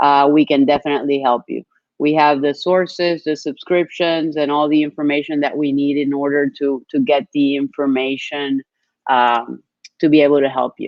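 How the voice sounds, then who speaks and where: Her intonation is monotone and flat, her pitch very deep and low for a woman. This woman keeps a moderate pace. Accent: Spanish. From Colombia. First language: Spanish. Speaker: business development executive. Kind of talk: webinar presentation.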